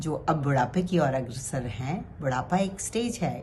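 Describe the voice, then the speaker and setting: A woman's dark, mellow voice is somewhat breathy, and its pitch varies in an ordinary way. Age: 60s. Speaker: cancer survivor. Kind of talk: motivational talk.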